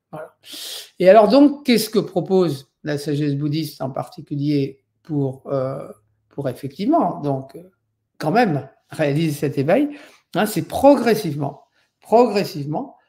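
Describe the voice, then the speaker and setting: Speaking fairly slowly with long, frequent pauses, a man has a fairly high pitch, a dark, mellow tone and lively intonation. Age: 60s. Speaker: Buddhist meditation teacher. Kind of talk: lecture. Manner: halting, many fillers.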